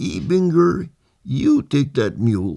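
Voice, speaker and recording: Putting on a squeaky character voice, a man pitches himself fairly high and swings it very widely while speaking fairly slowly. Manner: giving an order.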